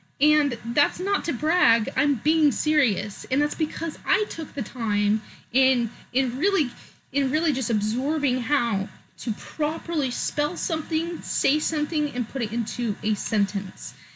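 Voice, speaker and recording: A woman's high-pitched, lively voice with a Californian accent, at a fairly slow pace. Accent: sounds Californian, valley girl. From US West Coast, Oregon. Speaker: vlogger. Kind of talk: opinion vlog. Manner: halting, many fillers.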